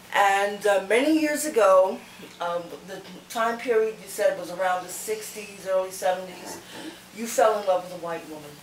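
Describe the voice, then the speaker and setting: With noticeable background noise behind her, a woman speaks at a medium pitch and moderate pace, with ordinary pitch variation, long and frequent pauses, and big swings in loudness. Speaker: channel host interviewer. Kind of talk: interview questions to camera.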